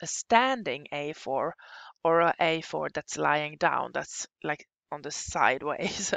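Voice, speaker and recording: A woman with a non-native accent. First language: Swedish. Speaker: software instructor. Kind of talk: tutorial. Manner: halting.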